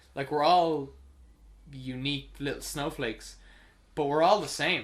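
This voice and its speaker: With an Irish accent, a man talks at a moderate pace, his fairly high pitch held to fairly even intonation. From Ireland. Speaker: podcast host. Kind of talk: casual chat.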